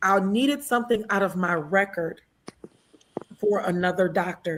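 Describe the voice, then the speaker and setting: A somewhat breathy woman's voice, animated in tone, medium in pitch with ordinary pitch variation, at a fairly slow pace. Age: 60s. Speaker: military veteran. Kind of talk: casual chat.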